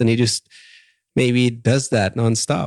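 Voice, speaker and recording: A man speaks in a German accent. The recording is very clean with a silent background, and the sound is dry and close with no echo. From Germany. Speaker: podcast host. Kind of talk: casual interview.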